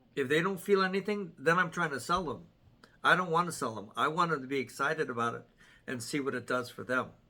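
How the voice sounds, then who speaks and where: A man's bright, sharp voice, fairly high in pitch, with lively intonation at a very fast pace. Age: 60s. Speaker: wellness product distributor and athletic trainer. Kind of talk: casual group discussion.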